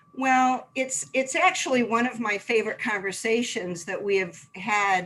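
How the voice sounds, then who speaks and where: A woman with an American accent speaks at a fairly slow pace in a fairly high pitch, her intonation lively. Noticeable background noise runs behind her. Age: 60s. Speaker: health food store owner. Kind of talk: interview conversation.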